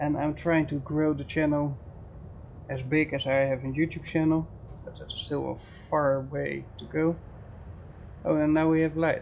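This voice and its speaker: With a Dutch accent, the speaker goes at a fairly slow pace, leaving long, frequent pauses. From Netherlands. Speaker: game streamer. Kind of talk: casual live stream chat with gameplay.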